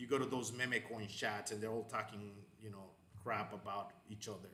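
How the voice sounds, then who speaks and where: A man in a Spanish accent talks at a moderate pace, with audible room echo around him. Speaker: crypto channel host. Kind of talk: live stream chat. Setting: live online stream. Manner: hesitant, many fillers and repetitions.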